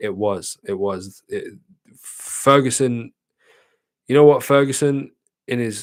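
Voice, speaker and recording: A man with a British accent speaks at a very slow pace, with long, frequent pauses. His loudness swings widely. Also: medium pitch for a man, ordinary pitch variation. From Britain. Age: 20s. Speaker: streamer. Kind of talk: casual chat. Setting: livestream.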